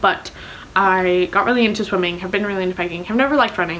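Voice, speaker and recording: A woman with a medium pitch and lively intonation talks against noticeable background noise. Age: 20s. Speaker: book vlogger. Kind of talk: casual vlog chat. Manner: fast.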